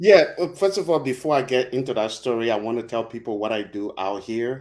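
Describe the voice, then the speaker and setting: The recording is very clean with a silent background, and the speech moves at a fairly quick pace. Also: man, medium pitch for a man. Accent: Liberian. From Liberia. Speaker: broadcast media specialist and Liberia-focused video creator. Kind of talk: casual interview chat on a livestream. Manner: halting, with many fillers and restarts.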